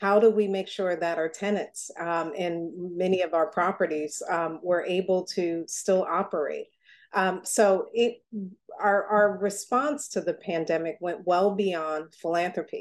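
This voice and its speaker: With an American accent, a woman in an unremarkable speaking voice talks at a fairly slow pace with a medium pitch and ordinary pitch variation over a quiet background. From Newark, New Jersey. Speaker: foundation president. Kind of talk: interview.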